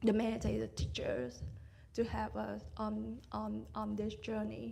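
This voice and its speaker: Speaking in a Vietnamese accent, a woman is heard with audible room echo and noticeable background noise. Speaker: meditation student. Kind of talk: dharma talk sharing. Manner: halting.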